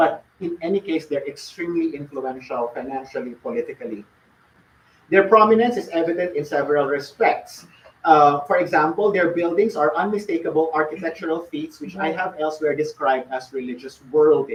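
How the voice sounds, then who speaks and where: Lively intonation marks this man's voice. He speaks at a high pitch and a fairly quick pace. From Philippines. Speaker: academic lecturer. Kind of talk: lecture. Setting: lecture hall with audience, streamed online. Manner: fast.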